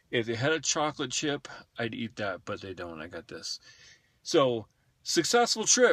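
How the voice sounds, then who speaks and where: A man with an American accent speaks at a moderate pace, his medium-pitched voice making very wide pitch swings. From California. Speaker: vlogger. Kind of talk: casual vlog monologue. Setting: in a car.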